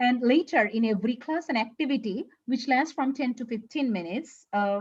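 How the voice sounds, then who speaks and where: A woman with a Bengali accent speaks at a fairly quick pace in a high pitch with ordinary pitch variation. The background is quiet. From Bangladesh. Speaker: English teacher. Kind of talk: conference presentation. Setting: online conference. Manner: halting, frequent fillers.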